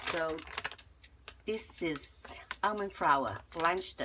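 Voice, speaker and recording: Against noticeable background noise, the talking moves at a fairly slow pace. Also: woman. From Chinese-born, lives in Canada. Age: 70s. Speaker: home cook. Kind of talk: cooking tutorial. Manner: halting, with repeated words.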